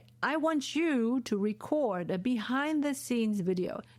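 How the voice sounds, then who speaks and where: In a German accent, a woman speaks with a fairly high pitch, an animated tone and lively intonation. The recording is very clean, with a silent background. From Germany. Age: 40s. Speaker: podcast host and professor. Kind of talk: solo podcast monologue.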